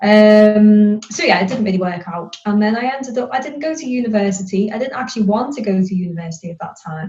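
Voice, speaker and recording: A woman talks at a very fast pace with ordinary pitch variation. Music plays in the background. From northern England, near Liverpool. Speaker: career coach. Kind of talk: podcast interview. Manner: hesitant fillers (um, kind of).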